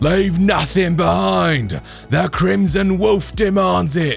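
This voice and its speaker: A put-on character voice from a man, fairly high and fairly slow, with very wide pitch swings and clear music in the background. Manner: menacing, commanding.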